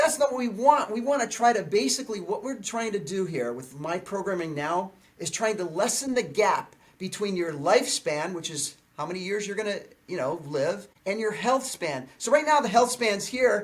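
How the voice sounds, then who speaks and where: A man with a high pitch sounds animated, his intonation lively. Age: 60s. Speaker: fitness trainer and video creator. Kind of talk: podcast interview.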